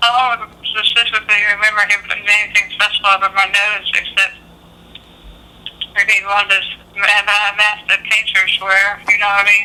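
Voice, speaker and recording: A woman talks at a moderate pace in a flat monotone at medium pitch, with noticeable background noise behind her. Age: 50s. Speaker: military veteran with neurological illness. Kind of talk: consultation interview. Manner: halting.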